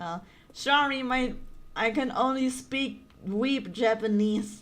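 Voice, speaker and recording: Audible room echo surrounds a woman with a high pitch. She talks at a very slow pace with ordinary pitch variation. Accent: German. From Germany. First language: German. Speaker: gaming streamer. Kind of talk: casual chat.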